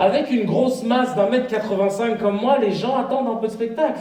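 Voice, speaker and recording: Talking at a very fast pace, a man with a high pitch and ordinary pitch variation is heard amid noticeable background noise and audible room echo. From Paris region, France. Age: young. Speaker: comedian. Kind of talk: stand-up. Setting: stage with audience. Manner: animated.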